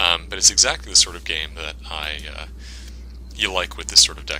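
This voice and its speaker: Over noticeable background noise, a man talks at a very fast pace in a very deep, low voice. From Canada. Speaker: gaming commentator. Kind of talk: gameplay commentary. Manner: casual, hesitant with fillers.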